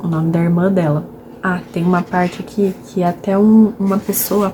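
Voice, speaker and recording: A soft-spoken woman in a monotone, flat intonation, with noticeable background noise. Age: 20s. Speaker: book vlogger. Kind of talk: casual vlog book talk. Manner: soft-spoken, speaking quietly; talkative.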